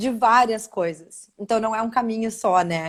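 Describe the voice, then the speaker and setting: The speaker uses a southern Brazilian accent with ordinary pitch variation. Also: woman. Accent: Gaúcho. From southern Brazil, Porto Alegre. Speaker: spiritual therapist. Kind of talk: live video interview.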